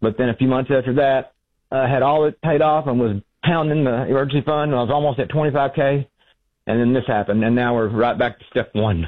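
A man speaks at a fairly quick pace, keeping a medium pitch and fairly even intonation.

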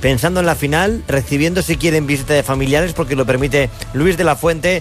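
Over clear music in the background, a man talks at a fairly quick pace with fairly high pitch and ordinary pitch variation.

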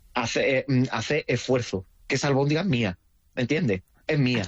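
A man with an Andalusian accent, medium-pitched, fairly quick, with ordinary pitch variation.

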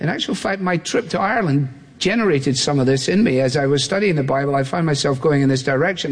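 Audible room echo surrounds a voice with ordinary pitch variation. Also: man.

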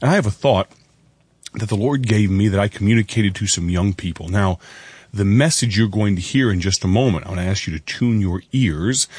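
Raspy with a slightly husky edge, a man speaks at a fairly quick pace in a fairly low pitch, his tone slightly mellow and his pitch variation ordinary.

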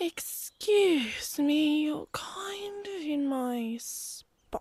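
High in pitch, this put-on character voice moves at a very slow pace. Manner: annoyed, territorial.

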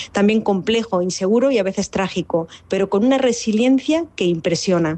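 A woman's medium-pitched, slightly mellow voice with ordinary pitch variation at a fairly quick pace

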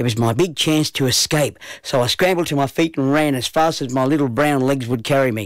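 Ordinary pitch variation in plain reading aloud

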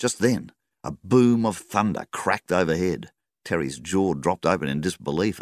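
A natural reading voice with lively intonation and a quiet background.

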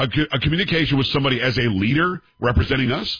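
Talking at a fast pace, the man has a medium pitch and a slightly husky edge.

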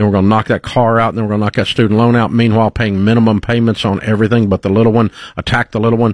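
Very fast delivery with a slightly mellow tone and little pitch movement. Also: man, fairly low pitch for a man.

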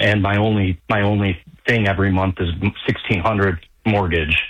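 A man talks at a moderate pace, his pitch fairly low and his tone fairly bright. His intonation stays fairly even.

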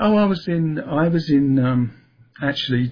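In a London accent, a man speaks fairly slowly at a fairly high pitch with lively intonation. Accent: southeast London.

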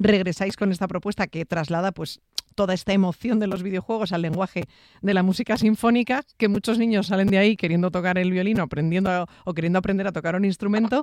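A woman's medium-pitched, slightly mellow voice, fast with few pauses and fairly even intonation

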